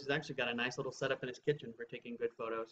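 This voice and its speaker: A man is speaking, with light background noise behind him. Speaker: beer reviewer. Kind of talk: casual chat. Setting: on camera, filmed. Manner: rambling, hesitant with fillers. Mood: relaxed, friendly. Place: home room. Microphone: webcam.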